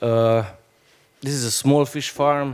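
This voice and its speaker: Speaking with a Slovenian accent, a man keeps his intonation fairly even. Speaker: fish farmer. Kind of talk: panel discussion. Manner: halting.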